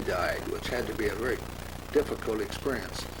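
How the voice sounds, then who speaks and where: A man speaks with an American accent. Noticeable background noise and audible room echo surround his voice. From US Midwest, Omaha, Nebraska. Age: 90s. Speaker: family historian. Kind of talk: home movie commentary. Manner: halting.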